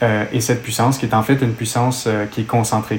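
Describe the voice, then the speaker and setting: A man speaks with a Quebec accent at a medium pitch, flat and monotone. Noticeable background noise runs behind him. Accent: Québécois. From Quebec, Montreal. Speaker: exercise physiologist. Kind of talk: technical interview discussion.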